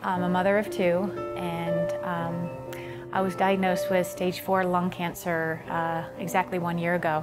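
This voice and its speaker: With an American accent, the speaker goes at a fairly slow pace while clear music plays in the background. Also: woman. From Virginia, USA. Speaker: personal trainer and fitness instructor. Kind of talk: testimonial interview. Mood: calm, reflective, occasionally smiling.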